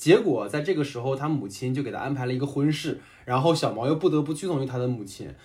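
Speaking at a very fast pace, a man sounds somewhat breathy. His voice sits fairly high, with ordinary pitch variation. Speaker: podcast host and moderator. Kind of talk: casual chat. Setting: remote online recording.

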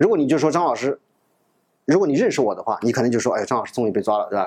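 This man talks very fast. His pitch sits fairly high. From China, Nanjing. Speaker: lecturer. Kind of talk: lecture.

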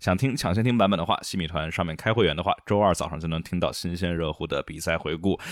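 This man's voice is very deep and low, with ordinary pitch variation. He talks very fast with hardly any pauses. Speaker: F1 podcast host. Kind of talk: casual chat, race review podcast.

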